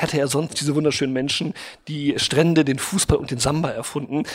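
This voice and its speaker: A man talks with a fairly high pitch and ordinary pitch variation. There is noticeable background noise. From Brazil. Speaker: advertising executive. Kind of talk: interview.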